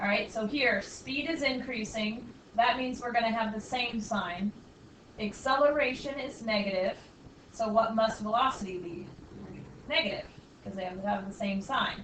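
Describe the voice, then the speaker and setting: A fairly high-pitched female voice at a moderate pace, with ordinary pitch variation, long, frequent pauses, noticeable background noise and audible room echo. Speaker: math teacher. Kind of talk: classroom lecture.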